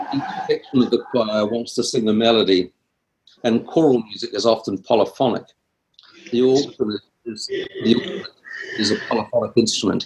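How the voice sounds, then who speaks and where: Speaking with a New Zealand accent, a man keeps a moderate pace. He takes long, frequent pauses. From New Zealand, Wellington. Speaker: composer and music teacher. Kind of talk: interview. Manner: halting.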